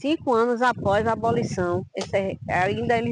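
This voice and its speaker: A woman speaks in a fairly high voice. Noticeable background noise can be heard. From Bahia, Brazil (Quingoma region near Salvador). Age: 60s. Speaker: quilombola community leader and Afro-Brazilian religious leader. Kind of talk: interview testimony. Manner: halting.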